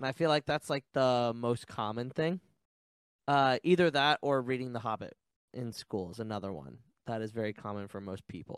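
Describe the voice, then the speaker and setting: A man with a plain, everyday voice, medium pitch and lively intonation at a moderate pace, in a dry, close sound with no echo. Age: 20s. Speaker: podcast co-host guest. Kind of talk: casual chat. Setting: video call.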